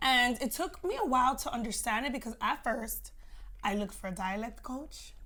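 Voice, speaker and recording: High in pitch, a woman's voice has a bright, sharp tone and lively intonation. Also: moderate pace. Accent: American. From New York and Miami. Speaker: actress. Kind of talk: casual interview chat.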